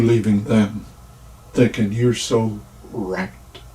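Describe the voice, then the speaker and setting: Over noticeable background noise, a man talks at a very slow pace. His fairly low voice stays monotone, with flat intonation. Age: 60s. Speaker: retired rideshare driver and vlogger. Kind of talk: casual storytelling monologue. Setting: livestream.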